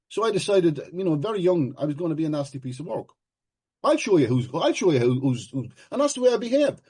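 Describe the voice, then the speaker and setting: The background is quiet. A man speaks in a high-pitched voice. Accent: Irish. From Ireland. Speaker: recovery meeting speaker. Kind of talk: personal testimony share at a recovery meeting.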